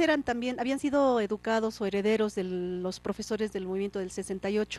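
Speaking at a moderate pace, a woman with a fairly high voice uses ordinary pitch variation, and the sound is dry with no echo. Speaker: TV program host. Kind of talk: interview. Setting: studio. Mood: warm, smiling. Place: studio. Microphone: handheld.

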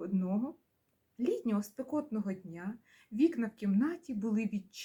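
Over a quiet background, someone is reading aloud in a natural voice.

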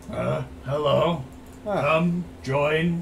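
A man performs in a put-on character voice at a fairly high pitch. Background noise is clearly audible. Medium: actual play. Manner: skeptical, blunt, unimpressed; homesick and tired of the road.

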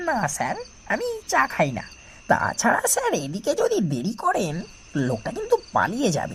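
A put-on character voice, fairly slow, over clear background noise. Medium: read story. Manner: cold, unmoved, deferential "sir".

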